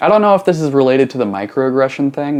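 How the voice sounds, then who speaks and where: A man with a normal speaking voice talks at a medium pitch. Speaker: YouTube reaction commentator. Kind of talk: reaction commentary. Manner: casual, conversational.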